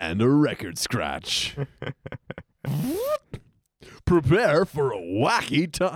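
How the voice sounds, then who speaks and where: Using a put-on character voice, a man talks very slowly in a fairly high pitch, swinging his pitch very widely and leaving long, frequent pauses. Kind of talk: dramatic announcer, loud. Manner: playful, wacky.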